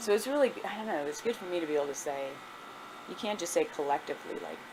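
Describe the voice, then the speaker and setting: Lively intonation from a woman over noticeable background noise. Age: 40s. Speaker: history professor. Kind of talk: oral history interview answer.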